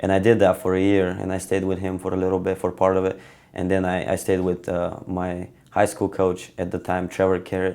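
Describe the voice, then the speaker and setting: A man with a Bulgarian accent and a very deep, low pitch talks at a fairly quick pace in a monotone, flat intonation with a dark, mellow tone. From Bulgaria, Stara Zagora. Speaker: wrestler. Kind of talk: interview. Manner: hesitant, many fillers.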